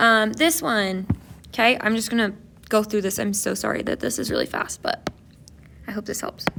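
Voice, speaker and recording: Fairly even intonation in a plain, everyday voice. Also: woman. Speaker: math tutorial maker. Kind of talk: tutorial. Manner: casual, with fillers.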